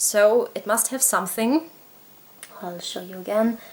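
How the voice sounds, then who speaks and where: A woman with a German accent at a fairly slow pace. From Germany. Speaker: parenting vlogger. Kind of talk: book review. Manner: casual, hesitant with many fillers.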